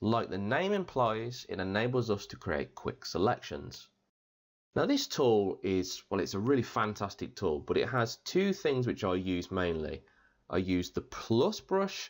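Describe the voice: Speaking at a fairly slow pace, a man with a fairly low pitch makes big pitch swings.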